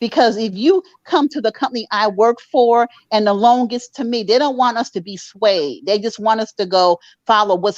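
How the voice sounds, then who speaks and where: Heard in a dry, close sound with no echo, a woman in a normal speaking voice talks at a moderate pace, fairly high in pitch and with lively intonation. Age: 60s. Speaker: mortgage underwriter. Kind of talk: casual chat.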